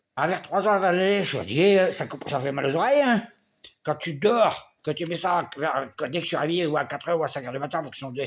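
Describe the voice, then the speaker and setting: This man speaks at a fairly quick pace. His pitch is high for a man. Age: 60s. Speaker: vlogger. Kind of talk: personal video diary.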